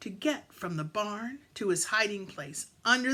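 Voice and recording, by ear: A natural voice reading aloud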